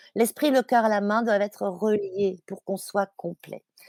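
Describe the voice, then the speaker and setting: Recorded with a dry, close sound and no echo, a woman speaks at a moderate pace in a fairly high pitch. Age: 60s. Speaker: climate activist and fashion author. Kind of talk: interview. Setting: podcast. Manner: halting, many fillers and repetitions.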